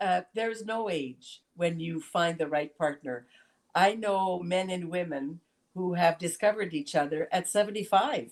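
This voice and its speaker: Speaking in a French accent, a woman uses a fairly low pitch, ordinary pitch variation and a moderate pace. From Canada, Sudbury, Ontario. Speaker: senator. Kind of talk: interview. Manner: halting.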